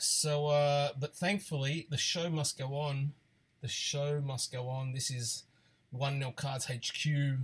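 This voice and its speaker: Somewhat breathy, a man speaks at a very slow pace with a fairly high pitch. His intonation is fairly even. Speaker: sports card break host. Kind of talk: live stream card break.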